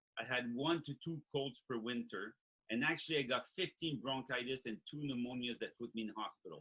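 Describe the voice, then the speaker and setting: A man with an ordinary speaking voice, medium pitch and ordinary pitch variation, at a fairly quick pace. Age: 60s. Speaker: health product creator. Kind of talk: sales pitch.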